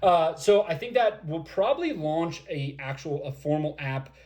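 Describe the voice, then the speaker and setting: The man's voice comes across somewhat breathy. He talks at a fairly slow pace with lively intonation. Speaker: project founder answering community questions. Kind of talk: livestream Q&A. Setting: livestream. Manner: halting, many fillers.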